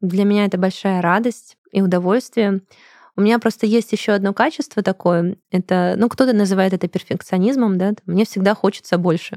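On a very clean, dry, close recording with a silent background and no echo, a woman speaks at medium pitch and a moderate pace, her tone dark and mellow, her intonation fairly even, and her loudness very even. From Russia, Krasnodar. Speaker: business owner, English school director. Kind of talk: interview.

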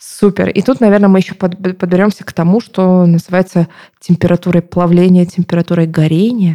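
A woman speaks at medium pitch in a dark, mellow tone. Her intonation is monotone and flat. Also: fairly quick pace, dry, close sound with no echo. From southern Russia, Novorossiysk, Krasnodar Krai. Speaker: marketer and podcast co-host. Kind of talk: casual chat. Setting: studio.

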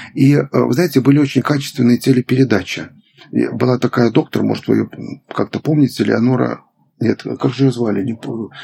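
With vocal fry and a dark, mellow tone, the voice moves at a moderate pace with fairly even intonation, in a dry, close sound with no echo. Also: man, medium pitch for a man. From Belarus. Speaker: gerontologist, medical professor. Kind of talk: interview, expert conversation.

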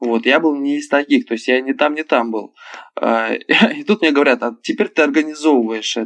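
At a moderate pace, a man with a fairly high pitch speaks with long, frequent pauses. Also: ordinary pitch variation, dry, close sound with no echo. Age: 20s. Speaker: club show performer and actor. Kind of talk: casual chat. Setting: phone call.

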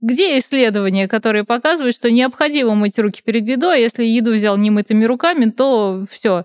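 Fairly high in pitch, a woman speaks in an unremarkable speaking voice with ordinary pitch variation, very even loudness and hardly any pauses. The recording is very clean, dry and close with no echo, over a silent background. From Russia, Nizhny Novgorod. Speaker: author and communication trainer. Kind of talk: casual chat.

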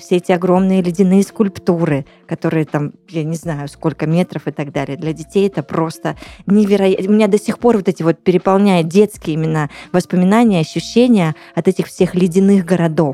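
Fairly quick woman's voice, fairly low in pitch with a dark, mellow tone, ordinary pitch variation and a dry, close sound with no echo. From Russian Far East, Blagoveshchensk. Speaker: radio host. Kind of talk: casual chat. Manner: animated.

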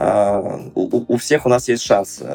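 Medium pitch and fairly even intonation from a man. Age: 30s. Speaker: entrepreneur and business advisor. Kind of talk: interview. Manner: hesitant, with fillers.

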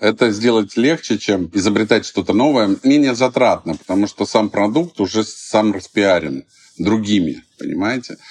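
A man speaks in a normal speaking voice, pitched fairly low. His pitch moves in an ordinary way at a moderate pace. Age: 50s. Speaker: entrepreneur, fast food chain founder. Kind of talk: interview. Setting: studio.

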